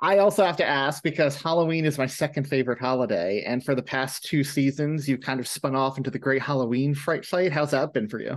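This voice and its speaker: Over a quiet background, a man with an American accent and a normal speaking voice talks at a fairly high pitch with ordinary pitch variation and hardly any pauses. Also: fairly quick pace. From New York. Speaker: podcast host. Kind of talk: casual interview chat.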